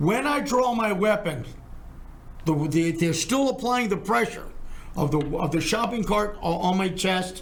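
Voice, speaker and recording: Lively intonation and very even loudness mark this fairly slow speech, heard with audible room echo and noticeable background noise. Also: man, high pitch for a man. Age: 70s. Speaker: criminal defense lawyer. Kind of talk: podcast discussion.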